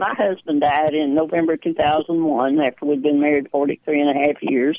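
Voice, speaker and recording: A woman speaks at a fairly slow pace in a very deep, low pitch. She has a strong Texas accent. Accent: strong Texas drawl. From small-town central Texas. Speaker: archer and senior games athlete. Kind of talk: radio interview chat. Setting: phone call.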